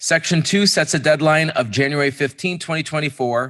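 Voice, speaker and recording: With an American accent, a man talks with ordinary pitch variation against a quiet background. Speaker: state legislator reporting a bill. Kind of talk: committee bill report on the floor. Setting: legislative chamber. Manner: fast.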